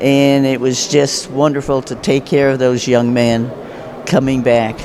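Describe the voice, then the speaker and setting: Over noticeable background noise and audible room echo, a man speaks at a fairly slow pace and a medium pitch in a flat, monotone way. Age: 70s. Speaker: retired navy nurse, veteran. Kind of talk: testimony.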